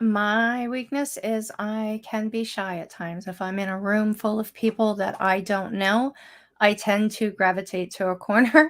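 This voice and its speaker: Very clean recording, silent background, with a woman at a fairly high pitch. Her pace is fairly slow and her intonation fairly even. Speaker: political candidate. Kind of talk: candidate Q&A.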